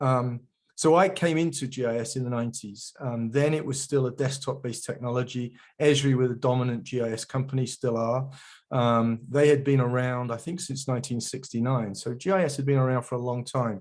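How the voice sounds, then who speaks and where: A man's medium-pitched voice with a British accent, fairly even intonation, and a fairly quick pace over a quiet background. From England. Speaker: geospatial industry veteran, guest speaker. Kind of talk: webinar presentation. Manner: hesitant, many fillers and repeats.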